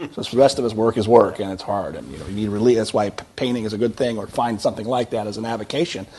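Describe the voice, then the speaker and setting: A man's medium-pitched voice at a very fast pace with hardly any pauses and fairly even intonation, over noticeable background noise. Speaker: conservative writer. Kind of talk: live panel discussion. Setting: studio with live audience.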